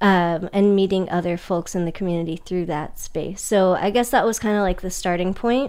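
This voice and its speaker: Hardly pausing at all, a woman with an American accent talks at a moderate pace with fairly even intonation. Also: medium pitch for a woman. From Northern California, Sacramento. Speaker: artist and teacher. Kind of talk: casual interview. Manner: halting, many fillers.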